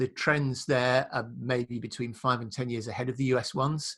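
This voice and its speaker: The voice is a man's at medium pitch. His intonation stays fairly even. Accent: British. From UK. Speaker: print industry consultant. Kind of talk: casual business chat.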